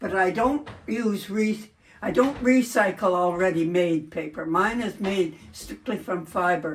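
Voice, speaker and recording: A woman speaks at a fairly slow pace, somewhat breathy. Her pitch is medium, with ordinary variation. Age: 90s. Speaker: paper artist. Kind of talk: interview.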